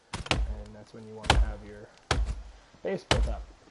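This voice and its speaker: Music plays behind a man speaking at a moderate pace. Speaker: gaming video creator. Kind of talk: let's play commentary. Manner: loud.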